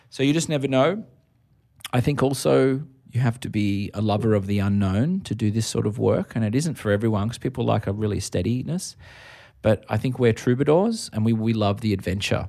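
A man with an Australian accent speaks at a fairly quick pace with lively intonation and a dark, mellow tone. The recording is very clean, with a silent background. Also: medium pitch for a man. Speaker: podcast host and musician. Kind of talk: casual interview chat. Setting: music venue.

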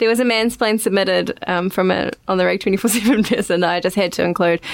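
Over noticeable background noise, a woman talks very fast in a New Zealand accent. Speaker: podcast host. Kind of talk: casual chat.

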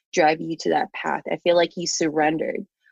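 A woman's fairly low-pitched voice in a Filipino accent. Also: dry, close sound with no echo. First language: Tagalog. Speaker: podcast host. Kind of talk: casual interview conversation.

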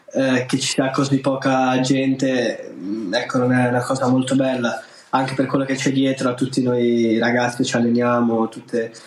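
Over noticeable background noise, a man with a medium-pitched voice talks at a moderate pace in a monotone, flat intonation with very even loudness. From Genoa, Italy. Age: young. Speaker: table tennis player. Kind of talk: interview. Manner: halting.

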